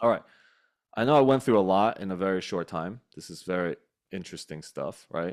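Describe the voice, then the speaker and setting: A plain, everyday voice from a man, fairly low and fairly quick, ordinary pitch variation, big swings in loudness. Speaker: real estate investing community host. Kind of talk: online community call presentation.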